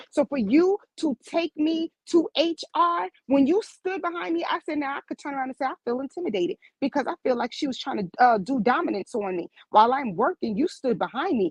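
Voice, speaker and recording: A woman with a strong New York accent, high-pitched and animated, talking at a fairly quick pace with hardly any pauses and very wide pitch swings, in a dry, close sound with no echo. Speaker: medical office worker. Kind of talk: casual chat. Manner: abrupt.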